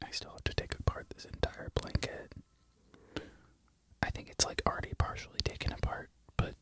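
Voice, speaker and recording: A man's fairly quick whisper, broken by long, frequent pauses, with big swings in loudness and noticeable background noise. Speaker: barista. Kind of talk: ASMR ramble to camera. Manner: whispered.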